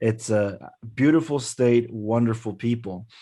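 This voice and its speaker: A speaker with a slight Mexican accent. The background is quiet. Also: man. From Mexico, Guerrero. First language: Spanish. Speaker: intercultural development speaker. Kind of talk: presentation. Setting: webinar.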